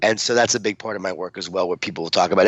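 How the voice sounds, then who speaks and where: With an American accent, a man talks at a medium pitch that varies an ordinary amount. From Long Island, New York. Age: 40s. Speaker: author and motivational speaker. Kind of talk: podcast interview.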